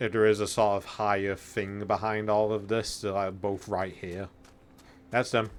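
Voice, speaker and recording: Quiet and fairly low-pitched, a man speaks at a fairly slow pace. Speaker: video game streamer. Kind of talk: live gameplay commentary.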